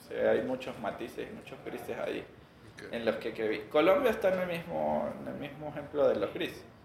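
In a space with audible room echo, a man speaks at a moderate pace with big swings in loudness. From Venezuela. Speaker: tech company executive. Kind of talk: interview.

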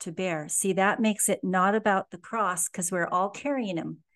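A woman's normal speaking voice at a medium pitch, with fairly even intonation and a quiet background. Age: 60s. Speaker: author and inspirational speaker. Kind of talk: interview about faith.

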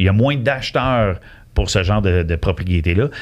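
A man with a Quebec accent and fairly low pitch, ordinary pitch variation, on a very clean recording with a silent background. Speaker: mortgage broker. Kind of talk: casual interview.

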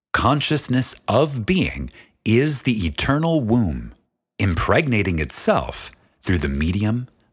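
A man's very slow, solemn speech with vocal fry and very wide pitch swings on a very clean recording with a silent background. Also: fairly low pitch for a man. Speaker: audiobook narrator. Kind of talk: audiobook reading of a spiritual text, scripted solemn narration. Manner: slow, measured, solemn and reverent; formal, deliberate, contemplative cadence.

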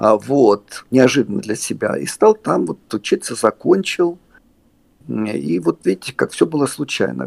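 A man's voice with a dry, close sound and no echo. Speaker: theatre puppeteer and actor. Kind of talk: casual interview conversation. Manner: rambling, halting, humorous.

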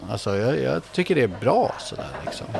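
A fairly quick pace amid noticeable background noise. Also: man. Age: 50s. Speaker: football academy director. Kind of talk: casual interview. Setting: restaurant.

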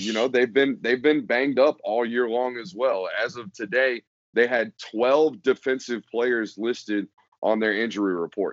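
A man speaks at a moderate pace with a medium pitch. It is a normal speaking voice. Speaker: football podcast guest writer. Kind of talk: casual sports podcast discussion. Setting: podcast recording.

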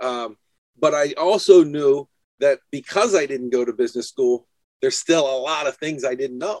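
With an ordinary speaking voice, a man speaks at a moderate pace, fairly high in pitch with ordinary pitch variation. The sound is dry and close, with no echo. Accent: American. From New Hampshire, US. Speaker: window cleaning business owner. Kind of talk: casual chat.

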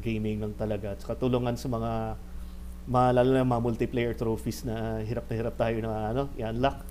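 Moderate-paced male speech with audible room echo. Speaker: gaming podcast host. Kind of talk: casual chat. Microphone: poor audio in first episode.

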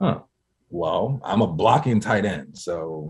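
Somewhat breathy, a man with an American accent speaks with very wide pitch swings. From Harrisburg, Pennsylvania. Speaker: former NFL player and nonprofit founder. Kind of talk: interview.

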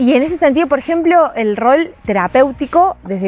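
Very wide pitch swings at a moderate pace over noticeable background noise. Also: woman. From Argentina. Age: 20s. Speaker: filmmaker and podcast co-creator. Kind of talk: casual interview conversation.

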